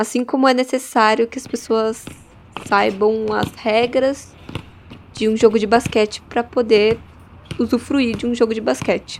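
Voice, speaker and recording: Over noticeable background noise, a woman speaks at fairly high pitch and a fairly slow pace, with monotone, flat intonation and long, frequent pauses. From Brazil, São Paulo. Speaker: performing arts student. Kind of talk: interview about research.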